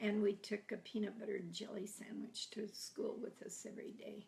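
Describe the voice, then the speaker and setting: Her voice is somewhat breathy. This woman's intonation is monotone and flat. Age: 80s+. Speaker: grandmother telling life stories. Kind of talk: oral history storytelling. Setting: at home, filmed by family.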